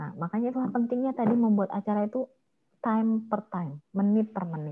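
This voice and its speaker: Very fast speech from a woman, fairly high in pitch, with ordinary pitch variation. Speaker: MC trainer. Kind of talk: online training workshop with Q&A.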